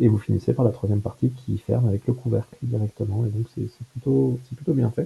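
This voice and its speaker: Dry and close with no echo, a man's fairly low voice carries a dark, mellow tone and vocal fry, moving at a fairly quick pace with ordinary pitch variation. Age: 20s. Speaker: computer hobbyist. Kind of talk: casual chat. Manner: halting.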